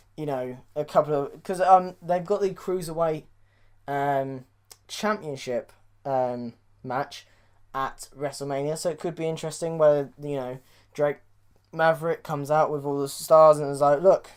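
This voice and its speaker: Speaking with a British accent at a moderate pace, the voice comes through a very clean recording with a silent background. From Britain. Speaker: wrestling podcast host. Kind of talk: casual podcast commentary.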